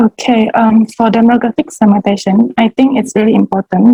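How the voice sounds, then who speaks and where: The speaker is a woman. Her voice has a somewhat breathy quality. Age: 20s. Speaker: student and home baker. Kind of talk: interview. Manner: hesitant, many fillers.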